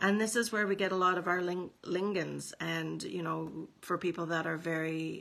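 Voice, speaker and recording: With a Canadian accent, a woman talks at a moderate pace in a fairly low pitch, with vocal fry. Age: 50s. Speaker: nutritional consultant. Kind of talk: casual educational vlog. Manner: halting, many fillers.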